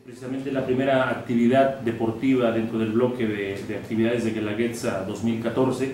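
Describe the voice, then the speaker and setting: Amid audible room echo and light background noise, a man speaks at a moderate pace. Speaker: rally club president. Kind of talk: press conference statement. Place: meeting room.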